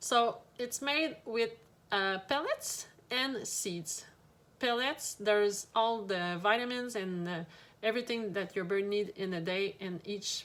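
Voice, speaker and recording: At a fairly slow pace, a woman speaks in a fairly high voice with ordinary pitch variation. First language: French. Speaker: pet shop owner. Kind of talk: product tutorial. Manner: hesitant, many fillers.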